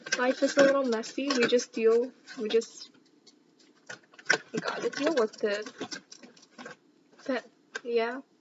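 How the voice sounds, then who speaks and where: A woman with a high pitch speaks at a fairly slow pace in a monotone, flat intonation, with long, frequent pauses and noticeable background noise. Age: 20s. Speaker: student volunteer. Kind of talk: casual cooking vlog chat.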